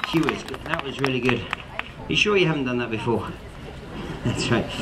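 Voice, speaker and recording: A man with an English accent speaks amid crowd noise in the background, with audible room echo. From Cornwall, England. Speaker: street performer / escape artist. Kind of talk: live street show patter. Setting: outdoors, public square with audience. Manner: animated, comedic.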